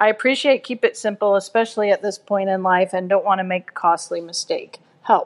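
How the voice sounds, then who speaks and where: A woman with an ordinary speaking voice talks at medium pitch and a fairly quick pace, hardly pausing. The sound is dry and close with no echo. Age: 50s. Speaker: listener asking a question. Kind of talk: recorded voicemail question.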